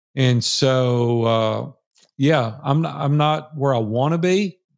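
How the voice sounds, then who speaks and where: A man speaks fairly slowly in a plain, everyday voice, with ordinary pitch variation. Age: 60s. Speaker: entrepreneur and mastermind facilitator. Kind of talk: casual interview.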